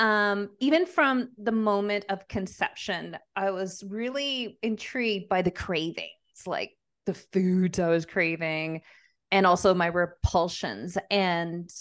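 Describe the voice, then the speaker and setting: A woman with a Canadian accent at a very slow pace, against a quiet background. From Montreal, Quebec. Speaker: business coach. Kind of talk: interview conversation.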